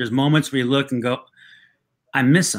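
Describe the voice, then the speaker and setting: Medium pitch from a male speaker. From Mexican-American background. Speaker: writer, actor and comedian; actor, comedian. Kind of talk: casual interview. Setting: video call. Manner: halting, repeated false starts. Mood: warm, reflective, sometimes laughing. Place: home room.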